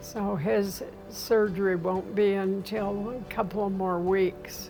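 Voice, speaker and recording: With music in the background and audible room echo, a woman speaks at a very slow pace. Her medium-pitched voice has monotone, flat intonation. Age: 80s+. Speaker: home health patient. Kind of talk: testimony.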